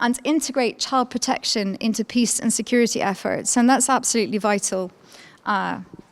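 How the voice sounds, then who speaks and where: Speaking at a moderate pace with a Scottish accent, a woman keeps a fairly even intonation at a fairly high pitch. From Scotland, Edinburgh. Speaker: law professor. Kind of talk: conference lecture. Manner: hesitant with fillers.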